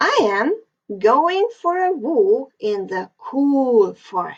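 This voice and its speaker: In a put-on character voice, the speaker goes at a very slow pace with very wide pitch swings. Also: woman, high pitch for a woman. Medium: read story. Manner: sly, wheedling.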